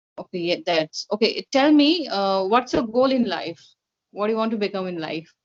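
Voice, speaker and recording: Speaking with an Indian accent, the voice moves through very wide pitch swings at a moderate pace. The sound is dry and close, with no echo. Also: woman, fairly high pitch for a woman. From India, Kolkata. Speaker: interviewer, English practice partner. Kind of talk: casual chat. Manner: hesitant, with fillers.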